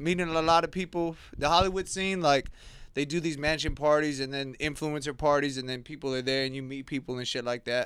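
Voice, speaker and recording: A man with an American accent speaks at a fairly quick pace in an unremarkable speaking voice, on a very clean recording with a silent background. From Southern California, West Covina area. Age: 30s. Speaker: video creator and editor. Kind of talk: casual chat.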